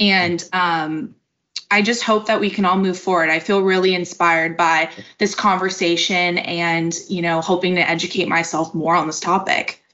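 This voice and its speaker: Moderate pace, an American accent and monotone, flat intonation. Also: woman, fairly low pitch for a woman. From US suburbs. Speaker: podcast host. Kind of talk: podcast interview.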